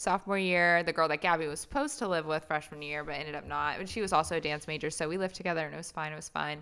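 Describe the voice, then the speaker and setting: A woman with an American accent, a very deep, low pitch and a bright, sharp tone, at a very fast pace with hardly any pauses, in a very clean recording with a silent background. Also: fairly even intonation. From Indiana, US Midwest. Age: 20s. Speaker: podcast co-host. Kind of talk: casual chat.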